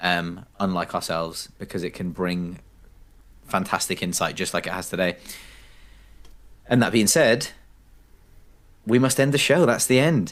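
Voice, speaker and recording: With a London accent and a very deep, low pitch, a man speaks at a moderate pace with lively intonation and long, frequent pauses. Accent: English (London-area). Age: 30s. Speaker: podcast host. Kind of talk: casual chat.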